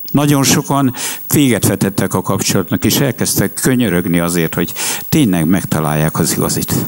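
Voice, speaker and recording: A man with a fairly low pitch talks at a fairly quick pace, making very wide pitch swings. His loudness stays very even, and there is noticeable background noise. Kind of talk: public talk.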